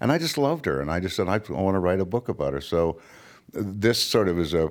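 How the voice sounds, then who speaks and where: A man's fairly quick delivery with vocal fry. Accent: Californian. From California. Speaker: author. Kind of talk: interview conversation.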